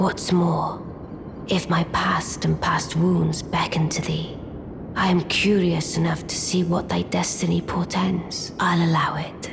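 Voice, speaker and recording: A put-on character voice whispers at a fairly slow pace over loud background noise. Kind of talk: archaic formal speech. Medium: machinima. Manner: archaic, measured, aloof.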